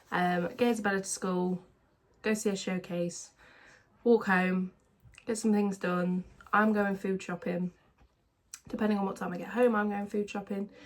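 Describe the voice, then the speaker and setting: A woman with an English accent speaks at a medium pitch with fairly even intonation. She leaves long, frequent pauses. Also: moderate pace. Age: 20s. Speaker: vlogger. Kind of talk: casual chat.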